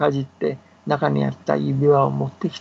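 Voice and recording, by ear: The speaker is a man with vocal fry. His pitch shows little movement. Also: slightly mellow tone.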